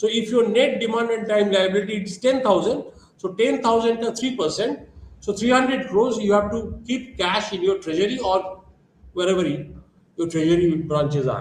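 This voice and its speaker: A man with an Indian accent speaks at a high pitch with ordinary pitch variation. Background noise is noticeable, and room echo is audible. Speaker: lecturer. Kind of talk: lecture. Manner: fast.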